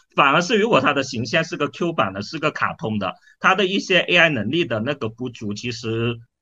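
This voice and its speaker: A man's fairly high pitch with very wide pitch swings, at a moderate pace. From China, Dongguan (Pearl River Delta). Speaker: startup founder and CEO. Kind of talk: interview. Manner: hesitant, filler-heavy.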